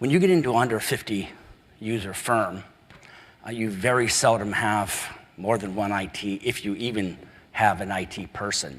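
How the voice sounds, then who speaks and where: Room echo is audible as a man speaks with an American accent. His pitch is fairly low, with ordinary variation. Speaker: software company president. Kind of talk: conference presentation. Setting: conference breakout session.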